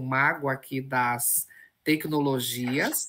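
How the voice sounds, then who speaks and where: Bright and sharp in tone, a woman's voice comes through a very clean recording with a silent background. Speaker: professor, event host. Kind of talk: event introduction.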